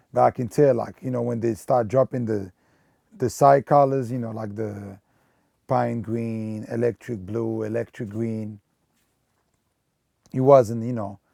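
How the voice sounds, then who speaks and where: A man with a non-native accent and a dark, mellow tone speaks at a medium pitch and a fairly slow pace, with long, frequent pauses and a dry, close sound with no echo. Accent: noticeable foreign. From Belgium. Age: 30s. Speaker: sneaker collector and retail store manager. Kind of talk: documentary interview. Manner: casual, filler-heavy.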